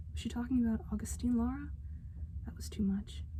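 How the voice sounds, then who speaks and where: The voice moves at a fairly quick pace with a dark, mellow tone, vocal fry and flat, monotone intonation. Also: woman. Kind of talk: ASMR story reading to help the listener sleep.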